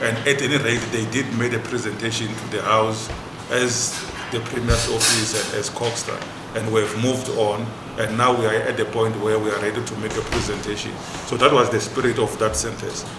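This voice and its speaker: A man speaks in a monotone, flat way at a moderate pace and medium pitch. Audible room echo and noticeable background noise are present. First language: not English. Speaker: traditional leaders' house representative. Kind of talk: committee meeting discussion. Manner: halting with repetitions.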